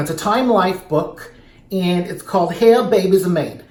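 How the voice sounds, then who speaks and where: Speech at a moderate pace with fairly even intonation is heard over noticeable background noise. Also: man. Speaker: drag queen; comedian. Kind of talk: casual talk to camera. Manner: rambling, joking.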